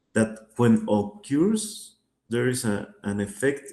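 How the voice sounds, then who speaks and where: With a Spanish accent, the speaker uses a dark, mellow tone at a very slow pace. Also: man. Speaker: finance teacher. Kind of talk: online lecture. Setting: video call. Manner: hesitant, many fillers.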